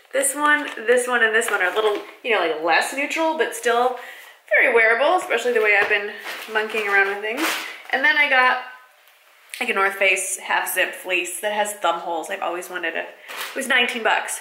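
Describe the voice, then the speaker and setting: Over light background noise and audible room echo, a woman talks at a fairly quick pace. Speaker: vlogger. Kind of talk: casual vlog chat. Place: home room. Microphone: phone near.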